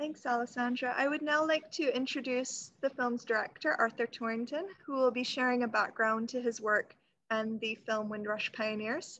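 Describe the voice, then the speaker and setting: At a moderate pace and with hardly any pauses, a woman with a high voice speaks with ordinary pitch variation. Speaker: event moderator. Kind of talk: event moderation. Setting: video call. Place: office. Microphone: video call.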